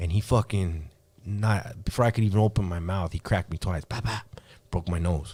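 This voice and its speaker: Somewhat breathy, a man speaks at a fairly low pitch in a dark, mellow tone. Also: ordinary pitch variation, fairly quick pace. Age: 40s. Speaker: hip hop artist. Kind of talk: podcast interview. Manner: halting, many repeated words.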